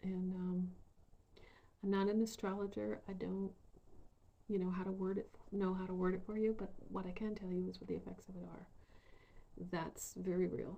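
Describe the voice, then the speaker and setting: Soft-spoken and somewhat breathy, a woman talks at a moderate pace with a medium pitch, monotone, flat intonation and a dark, mellow tone. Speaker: spiritual vlogger. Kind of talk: casual vlog monologue. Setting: bedroom.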